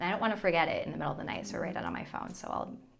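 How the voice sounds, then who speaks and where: A woman is speaking. There is audible room echo. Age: 30s. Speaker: former TV meteorologist turned content creator. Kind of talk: casual chat.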